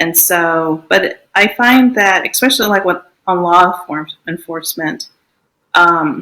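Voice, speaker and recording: Speaking at a fairly slow pace, a woman with an American accent has a bright, sharp tone, a fairly low pitch and ordinary pitch variation. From United States. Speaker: Islamic educator and public speaker. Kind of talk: interview conversation. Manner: halting, many fillers and restarts.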